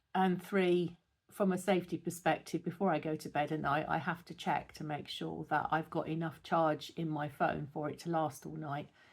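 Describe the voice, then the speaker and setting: The speaker has a British accent and a monotone, flat intonation, talking at a moderate pace in a very clean recording with a silent background. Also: woman. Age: 60s. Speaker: lifestyle vlogger. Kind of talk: casual talk to camera. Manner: hesitant, with fillers.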